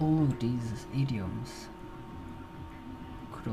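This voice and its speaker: The pace is very slow. Noticeable background noise can be heard. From Slovenia. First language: Slovenian. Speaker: video blogger. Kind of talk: casual monologue. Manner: halting. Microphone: poor audio.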